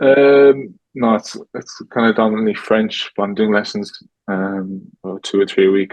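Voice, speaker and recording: A man speaks with an Irish accent. His pitch sits fairly low. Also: fairly even intonation. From Ireland. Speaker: professional footballer. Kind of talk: casual interview. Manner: fast.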